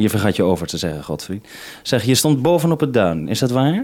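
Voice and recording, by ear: Talking at a fairly quick pace, a man with a fairly low pitch and a slightly mellow tone lets his pitch swing widely.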